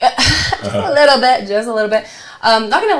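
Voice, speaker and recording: A woman speaks with a Utah accent. Her intonation is lively. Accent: American, Utah. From Salt Lake City, Utah (early childhood in Tonga). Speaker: realtor. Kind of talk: casual chat.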